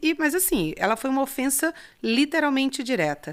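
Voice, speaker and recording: A woman talks at a moderate pace with lively intonation. The recording is very clean, with a silent background. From Ceará, Brazilian Northeast. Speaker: farmer and businesswoman. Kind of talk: interview.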